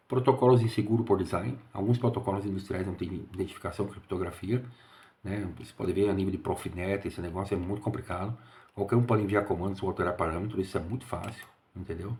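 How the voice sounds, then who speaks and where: A quiet, somewhat breathy man's voice, fairly low in pitch, with a dark, mellow tone, fairly even intonation and a very fast pace. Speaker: engineer and security consultant. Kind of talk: casual monologue. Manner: quiet, speaking low.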